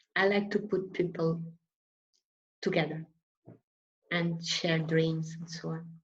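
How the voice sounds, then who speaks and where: A somewhat breathy woman's voice, fairly low-pitched and fairly slow, flat and monotone, with big swings in loudness and long, frequent pauses. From Portugal. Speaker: art teacher, past association president. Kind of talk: online panel discussion. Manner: halting.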